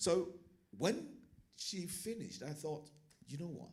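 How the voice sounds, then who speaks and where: A man speaks with a Nigerian accent. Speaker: teacher and churchgoer. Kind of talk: panel discussion.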